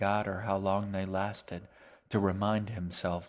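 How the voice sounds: Someone speaks in a natural reading voice.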